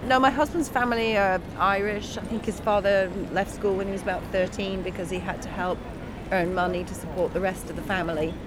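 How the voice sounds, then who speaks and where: Against noticeable background noise, a woman talks at a fairly quick pace with medium pitch and ordinary pitch variation. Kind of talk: casual chat.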